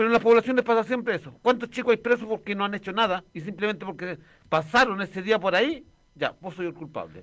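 Very fast and with big swings in loudness, a man speaks in a high voice. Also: ordinary pitch variation. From Chile, working-class neighbourhood. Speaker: radio co-host. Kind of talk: casual chat.

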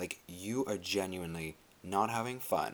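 A man speaks quietly in a fairly low pitch. His tone is animated, with lively intonation. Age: 20s. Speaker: solo podcast host. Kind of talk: casual monologue. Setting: bedroom at night. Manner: quiet, low volume.

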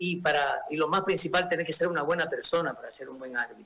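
A man's high-pitched voice at a fairly quick pace. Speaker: former football referee. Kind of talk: radio interview. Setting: video call.

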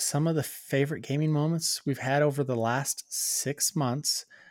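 A man speaks at a moderate pace in a normal speaking voice, fairly high-pitched with fairly even intonation, on a very clean recording with a silent background. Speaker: podcast co-host, gaming dad. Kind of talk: casual chat.

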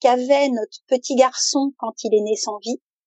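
This is a woman's voice. Her pitch is high. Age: 50s. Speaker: mother preparing family sailing voyage. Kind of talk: interview testimony. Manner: hesitant.

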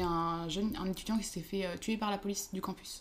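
Rushing at a very fast pace, a woman talks at a medium pitch with fairly even intonation. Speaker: university student. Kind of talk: casual chat.

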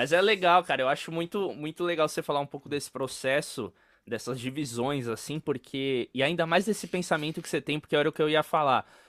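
A man speaks at a fairly quick pace and a fairly high pitch, with ordinary pitch variation. The recording is very clean and dry, with a close sound, no echo and a silent background. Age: 20s. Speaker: podcast host, percussionist. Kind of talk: interview. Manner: animated.

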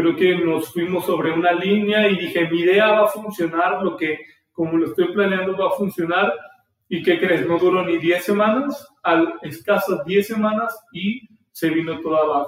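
A man speaks at a high pitch with ordinary pitch variation and a central Mexican accent. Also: moderate pace. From Mexico, Aguascalientes. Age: 20s. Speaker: podcast host, entrepreneur. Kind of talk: solo podcast monologue. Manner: casual, hesitant with fillers.

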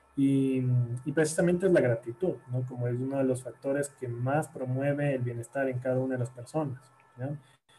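Over music in the background, a man talks at a medium pitch with fairly even intonation. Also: moderate pace. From Ecuador, Guayaquil. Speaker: psychologist. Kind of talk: interview. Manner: halting, many repeated words.

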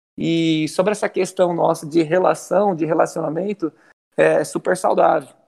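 A high-pitched man at a moderate pace, with very even loudness and fairly even intonation. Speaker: football coach. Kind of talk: interview. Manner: intense.

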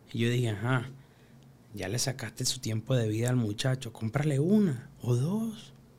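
A man speaks with a Venezuelan accent. His intonation is lively. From Venezuela (Caracas hillside barrio). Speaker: freestyle rapper. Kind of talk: casual interview.

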